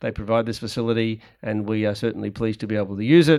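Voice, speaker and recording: At a very fast pace, a man talks with medium pitch. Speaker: event moderator. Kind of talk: moderated panel discussion. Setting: public event with audience.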